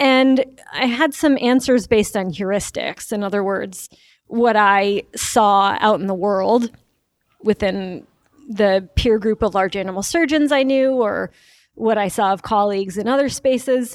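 With an American accent, a woman with an ordinary speaking voice talks fairly slowly at a fairly high pitch with ordinary pitch variation on a very clean recording with a silent background. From New York. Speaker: veterinarian and researcher. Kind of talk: interview.

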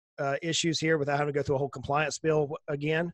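Speaking with a Southern US accent, a man talks at a very fast pace. His pitch is fairly high and his intonation is monotone and flat. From US South. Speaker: financial planner. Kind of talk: casual interview.

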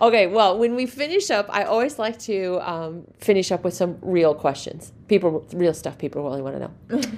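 Barely pausing, a woman with a Midwestern US accent speaks at a moderate pace and medium pitch, her intonation lively. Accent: US Midwest. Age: 50s. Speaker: podcast host, livestock show community. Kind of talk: casual interview.

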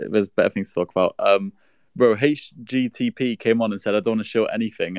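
A man talking at a very fast pace in a British accent, the sound dry and close with no echo over a quiet background. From United Kingdom. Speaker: crypto space participant. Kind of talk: casual banter in an online audio space. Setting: online audio space.

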